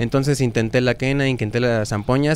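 Light background noise sits under a man speaking at a fairly quick pace with fairly even intonation, the sound dry with no echo. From Mexico. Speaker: band vocalist; guest. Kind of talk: interview. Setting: record shop venue. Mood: relaxed, reflective. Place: studio. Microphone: handheld.

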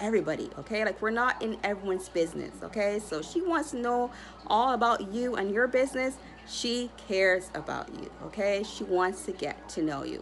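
Light background noise sits behind a woman who speaks at a moderate pace. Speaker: astrology content creator. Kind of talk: casual vlog chat. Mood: cheerful, smiling. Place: home room. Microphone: phone near.

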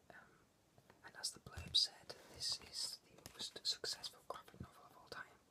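A man whispers at a moderate pace, leaving long, frequent pauses. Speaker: ASMR creator. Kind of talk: ASMR whispered talk about a comic book. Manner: whispered. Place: home room. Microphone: webcam.

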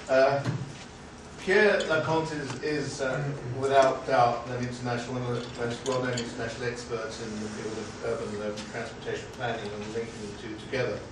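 At a fairly quick pace, the speaker comes through audible room echo and loud background noise. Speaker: academic seminar chair. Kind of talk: seminar moderation. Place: meeting room. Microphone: camera far.

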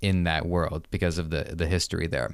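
This man has a low pitch and a clear, smooth tone.

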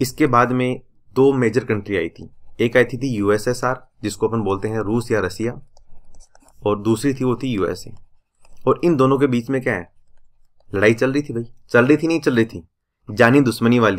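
A man speaks at a moderate pace with ordinary pitch variation. Long, frequent pauses break up his speech. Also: quiet background. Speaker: exam prep teacher. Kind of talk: lecture. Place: home room.

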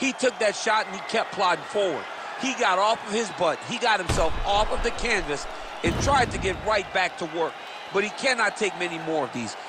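Amid noticeable background noise, a man with a high pitch and an energetic tone speaks at a moderate pace with ordinary pitch variation. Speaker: color commentator. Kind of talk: live sports commentary. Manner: energetic color analyst, explaining technique with enthusiasm.

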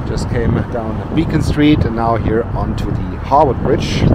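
Loud background noise surrounds a man's voice, though the sound itself is dry with no echo. He talks at a fairly slow pace with ordinary pitch variation. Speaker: travel vlogger. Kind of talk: casual vlog chat. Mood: cheerful, admiring the view. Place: street. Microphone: phone near.

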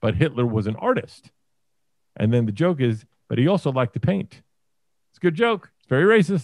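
Against a quiet background with a dry sound and no echo, a man speaks very fast with lively intonation. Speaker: remote podcast guest. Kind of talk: casual podcast conversation. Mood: opinionated, joking. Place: home room. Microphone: video call.

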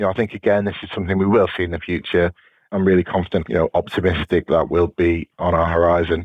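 Very deep and low, a man's voice with a British accent races along at a very fast pace in a monotone, flat intonation. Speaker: police officer, counter-drone specialist. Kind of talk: interview. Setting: podcast interview.

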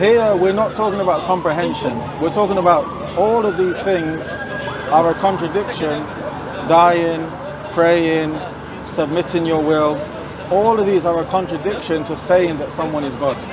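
A man talks at a moderate pace with ordinary pitch variation. There is noticeable background noise, and the sound is dry with no echo. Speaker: street preacher debater. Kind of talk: debate argument. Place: street. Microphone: lapel.

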